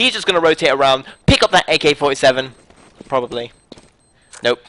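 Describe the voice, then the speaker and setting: With a British accent and a bright, sharp tone, a man speaks at a fairly quick pace. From Britain. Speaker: esports caster. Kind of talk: live commentary. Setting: live stream. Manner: fast.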